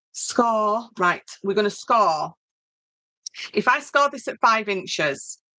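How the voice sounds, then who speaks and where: A woman with a northern English accent speaks at a very slow pace in a fairly high pitch, with a bright, sharp tone, lively intonation and long, frequent pauses. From northern England. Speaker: craft tutor. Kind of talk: tutorial; casual chat. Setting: live stream. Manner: hesitant, many fillers. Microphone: laptop.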